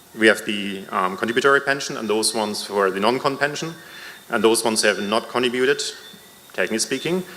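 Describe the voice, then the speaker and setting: A man talks at a medium pitch with lively intonation. There is audible room echo and noticeable background noise. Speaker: member of the public at a town hall. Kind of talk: public comment at a town hall meeting. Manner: hesitant, with fillers.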